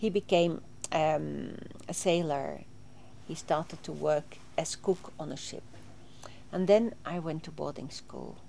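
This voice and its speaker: A woman with a Swedish accent, fairly slow, with long, frequent pauses and big swings in loudness. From southern Sweden (Småland, near Vimmerby). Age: 60s. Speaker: interviewee recounting her life. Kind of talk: interview testimony. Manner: halting, with frequent fillers.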